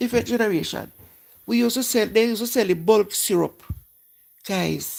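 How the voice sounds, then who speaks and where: A woman with a Jamaican accent speaks at a fairly high pitch and a moderate pace, with vocal fry. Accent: Jamaican, patois-inflected. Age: 60s. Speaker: live-stream host. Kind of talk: casual chat.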